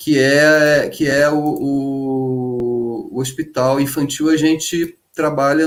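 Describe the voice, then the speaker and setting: This man speaks at a fairly high pitch. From Brazil, Rio de Janeiro state mountain region. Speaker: teacher. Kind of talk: live online panel talk. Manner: halting, many repetitions and fillers.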